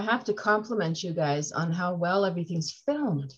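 Against a quiet background, a woman talks at a moderate pace, somewhat breathy, with lively intonation. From North America. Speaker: podcast host. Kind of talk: casual interview. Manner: enthusiastic. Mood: warm, complimentary. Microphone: video call.

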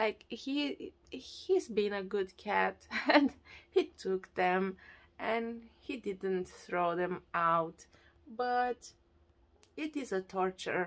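A woman's very slow speech, broken by long, frequent pauses, with lively intonation. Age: 30s. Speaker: radio presenter and voiceover artist. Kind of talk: casual talk to camera. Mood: worried, a little sad. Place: home room. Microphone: phone near.

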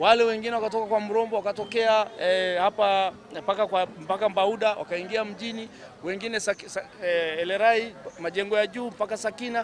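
A man with a high pitch talks at a moderate pace with fairly even intonation, in a dry sound with no echo over light background noise. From Tanzania. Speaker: city official. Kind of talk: interview. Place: street. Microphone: handheld.

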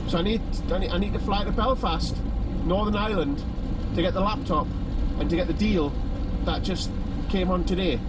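Amid loud background noise, a man talks at a moderate pace in a dry sound with no echo. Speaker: vlogger. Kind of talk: casual vlog chat, retelling a story. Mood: exasperated, sarcastic. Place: car. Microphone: phone near.

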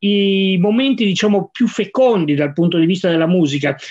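A man against a quiet background. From Piedmont, Vercelli province; Piedmont. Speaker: science journalist. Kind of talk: moderated discussion. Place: office. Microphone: video call.

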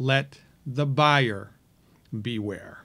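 A man talks very slowly with lively intonation, and the background is quiet. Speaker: health commentator. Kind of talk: opinion commentary to camera. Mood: critical, persuasive.

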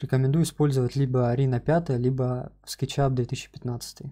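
Somewhat breathy, a man speaks in a dark, mellow tone with monotone, flat intonation. The background is quiet. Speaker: software instructor. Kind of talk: tutorial.

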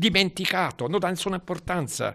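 Here a man speaks with a high pitch. His pace is moderate, and the background is quiet. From Tuscany, Florence. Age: 90s. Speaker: retired hospital physician; interviewee, professor. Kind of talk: interview testimony. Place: home room. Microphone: handheld.

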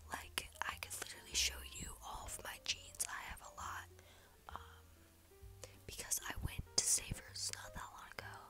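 A woman's whisper at a very slow pace, with music in the background. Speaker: vlogger. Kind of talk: casual talk to camera. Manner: whispered. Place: home room. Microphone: earbuds.

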